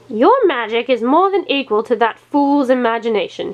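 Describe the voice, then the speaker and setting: A woman's put-on character voice, high-pitched, at a moderate pace with lively intonation. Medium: read story. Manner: blustering.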